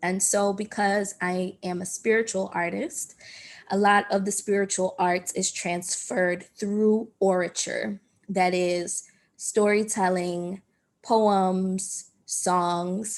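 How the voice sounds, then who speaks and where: A woman with an American accent at a very slow pace, in a monotone, flat intonation. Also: medium pitch for a woman, very clean recording, silent background. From US Northeast, Southwest Philadelphia. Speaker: performance artist and writer. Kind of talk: panel talk.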